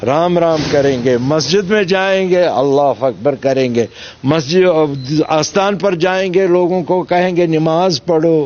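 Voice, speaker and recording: Over noticeable background noise, a man with a high voice speaks with ordinary pitch variation. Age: 70s. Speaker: politician, MLA candidate and former militant. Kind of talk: interview. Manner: animated.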